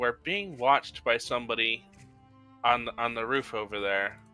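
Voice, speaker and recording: Faint music plays behind a man mumbling in a put-on character voice at medium pitch and a moderate pace. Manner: mumbling, secretive, lips barely moving.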